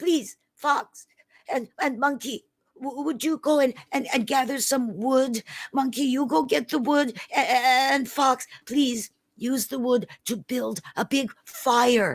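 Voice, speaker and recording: In a put-on character voice, the speaker talks fairly slowly at a fairly high pitch. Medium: read story. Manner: soft, earnest.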